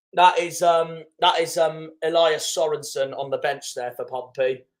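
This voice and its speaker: Fairly slow and with fairly even intonation, the speaker talks in a West Country accent. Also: man, high pitch for a man. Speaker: football fan streamer. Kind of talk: live football watchalong commentary. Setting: live stream.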